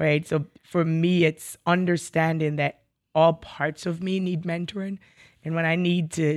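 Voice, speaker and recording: A woman with a very deep, low voice speaks with an American accent in a monotone, flat intonation. The recording is very clean, with a silent background. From Jamaica. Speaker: college professor and pastor. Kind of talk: interview.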